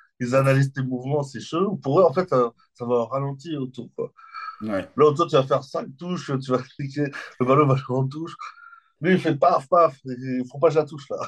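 At a moderate pace, the voice shows big swings in loudness and ordinary pitch variation. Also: man, fairly high pitch for a man. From France, Limoges. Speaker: comedian. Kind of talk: casual chat. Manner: animated.

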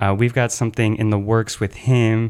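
In an American accent, the speaker keeps a monotone, flat intonation at a moderate pace in a very clean recording with a silent background. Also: man. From Chicago, US. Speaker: podcast host, rave dancer. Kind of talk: casual chat.

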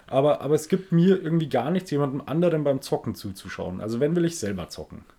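This man talks at a very fast pace with lively intonation and a dark, mellow tone. His pitch is fairly high, and the recording is very clean with a silent background. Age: 30s. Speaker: podcast co-host. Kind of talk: casual chat.

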